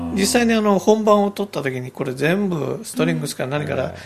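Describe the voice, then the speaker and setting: Against noticeable background noise, a man with a high pitch talks at a fairly quick pace, his pitch swinging very widely. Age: 50s. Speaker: anime film director. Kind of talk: radio interview, casual conversation.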